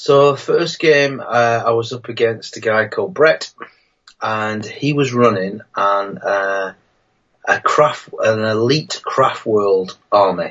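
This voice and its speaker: Very slowly, a man talks with a northern English accent. His pitch is medium, with ordinary variation. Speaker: wargaming YouTuber. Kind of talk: live stream chat. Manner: hesitant, many fillers.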